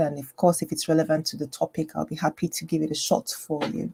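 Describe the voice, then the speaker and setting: A woman with a very deep, low pitch and a dark, mellow tone speaks at a fairly quick pace with vocal fry and fairly even intonation, the sound dry and close with no echo. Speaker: general practitioner and health educator. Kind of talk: live stream health talk. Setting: home live stream, screen share. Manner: quiet, low voice; hesitant, many fillers.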